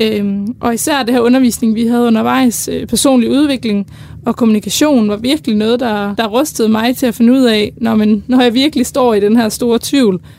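A woman with a fairly high pitch and fairly even intonation speaks at a moderate pace over noticeable background noise. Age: 20s. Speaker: university student. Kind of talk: casual chat. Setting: studio.

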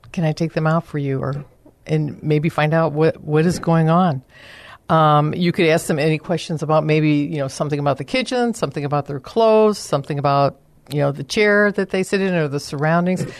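Against a quiet background, a woman with an American accent speaks at a fairly quick pace in a very deep, low pitch, with ordinary pitch variation. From US Midwest, Chicago area. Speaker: senior care advisor. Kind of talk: radio interview.

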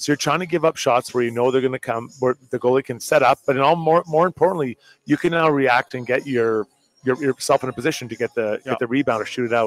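Very fast speech from a man, with ordinary pitch variation. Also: medium pitch for a man, dry, close sound with no echo. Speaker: hockey analyst, former player. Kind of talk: live postgame sports talk. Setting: live at a bar with crowd.

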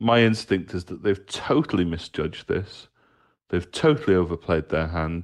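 Over a quiet background, a man with a very deep, low pitch talks at a very slow pace with ordinary pitch variation. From Britain. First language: English (speaking Danish). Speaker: football journalist. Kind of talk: interview.

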